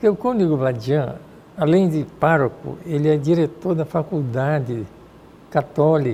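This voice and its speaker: With noticeable background noise behind him, a man at a fairly high pitch talks at a fairly slow pace with lively intonation. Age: 80s+. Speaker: retired priest and parapsychologist. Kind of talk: TV interview.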